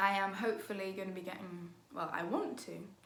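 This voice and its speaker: A woman talks at a fairly quick pace with a medium pitch. Room echo is audible, and background noise is noticeable. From Liverpool, England. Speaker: YouTuber and cover singer. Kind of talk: casual Q&A vlog. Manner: hesitant, many fillers.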